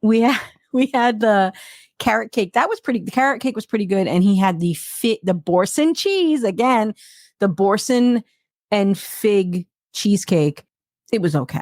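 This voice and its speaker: Lively in intonation, a woman speaks at a fairly high pitch in a very clean recording with a silent background and a dry, close sound with no echo. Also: moderate pace. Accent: New York. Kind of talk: casual, conversational.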